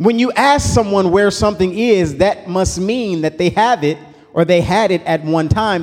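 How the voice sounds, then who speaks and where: With lively intonation and an animated tone, a man speaks at a high pitch. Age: 30s. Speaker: pastor. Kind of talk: sermon.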